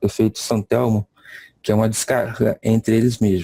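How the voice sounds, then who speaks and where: Speaking at a moderate pace, a man has a dark, mellow tone, recorded dry and close with no echo. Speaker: lecturer. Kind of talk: lecture. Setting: video call. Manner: halting.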